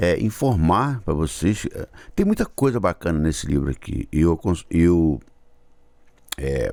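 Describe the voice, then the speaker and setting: Over a silent background in a very clean recording, a man with a very deep, low pitch talks at a fairly slow pace, his pitch swinging very widely between long, frequent pauses. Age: 60s. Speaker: YouTuber, musician. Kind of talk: casual vlog talk. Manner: halting.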